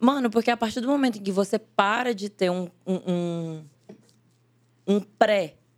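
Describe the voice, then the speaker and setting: Her pace fairly slow and broken by long, frequent pauses, a woman speaks in an animated tone at a medium pitch with ordinary pitch variation. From Brazil, northern Minas Gerais (Salinas). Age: 20s. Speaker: actress and digital influencer. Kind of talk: casual chat.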